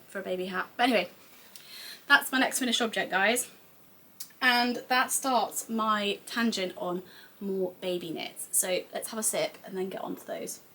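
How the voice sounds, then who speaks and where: Putting on a raspy character voice, a woman speaks at a moderate pace with big swings in loudness and ordinary pitch variation. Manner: talking fast.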